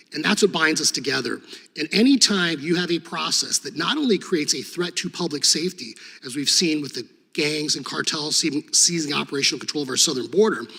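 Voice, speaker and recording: A man speaks at a very fast pace in a fairly high pitch, with ordinary pitch variation and noticeable background noise. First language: Serbo-Croatian. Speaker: former state attorney general, hearing witness. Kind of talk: congressional hearing testimony. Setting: committee hearing room.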